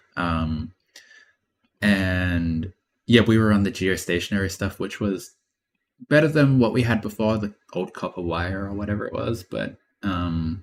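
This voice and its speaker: A man with an Australian accent and a fairly low pitch, at a moderate pace with ordinary pitch variation. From Australia, Queensland. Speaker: streamer doing satellite image processing. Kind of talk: live stream casual talk. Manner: mumbling, lazy talker; trying to talk clearly.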